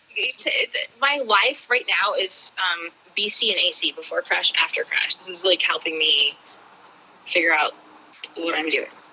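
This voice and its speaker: A woman talks fairly slowly. Background noise is clearly audible throughout. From Kentucky. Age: 40s. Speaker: interviewee, skateboarder and street outreach volunteer. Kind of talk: casual chat. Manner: animated, halting with many fillers. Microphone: on her phone.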